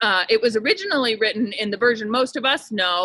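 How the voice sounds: A natural reading voice delivers the words.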